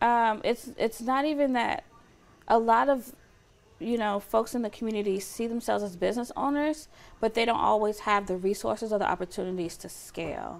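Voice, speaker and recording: This woman has an unremarkable speaking voice with an American accent and a fairly high pitch. She talks at a fairly quick pace with ordinary pitch variation. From US South, metro Atlanta, Georgia. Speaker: chamber of commerce deputy director. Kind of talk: interview.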